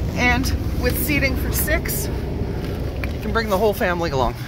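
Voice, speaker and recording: Noticeable background noise with a dry sound and no echo. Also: woman. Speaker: car salesperson. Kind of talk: sales pitch, upbeat walkaround video pitch. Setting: dealership walkaround video. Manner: animated. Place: street. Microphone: phone near.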